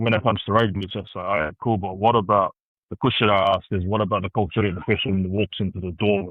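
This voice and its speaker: A man talks at a very fast pace. His fairly low voice keeps fairly even intonation. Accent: New Zealand. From Christchurch, New Zealand. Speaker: consultant and community leader. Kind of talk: podcast interview answer.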